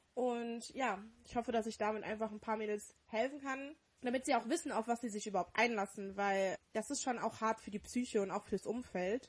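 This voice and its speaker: Pitch varies in an ordinary way at a moderate pace. The voice sounds somewhat breathy. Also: woman, fairly high pitch for a woman. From Dortmund, Germany. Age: 20s. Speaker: podcast co-host. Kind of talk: casual chat.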